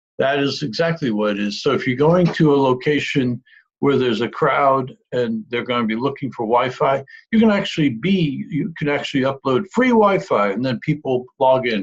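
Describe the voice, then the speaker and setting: A somewhat breathy man with a fairly high voice speaks at a moderate pace with lively intonation. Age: 60s. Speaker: marketing presenter. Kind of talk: sales pitch. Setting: screen-share video call. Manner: halting.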